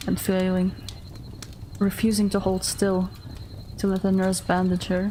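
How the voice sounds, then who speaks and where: A woman speaks calmly at a medium pitch and a fairly slow pace. Noticeable background noise runs under her voice. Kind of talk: horror story narration. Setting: livestream. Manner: soft, calm, measured.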